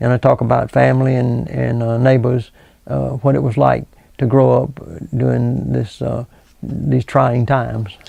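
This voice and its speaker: Speaking with a Southern US accent, a man with a fairly low pitch and a dark, mellow tone moves at a moderate pace through very wide pitch swings. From US South, South Carolina. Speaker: local historian and author. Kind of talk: interview. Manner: halting.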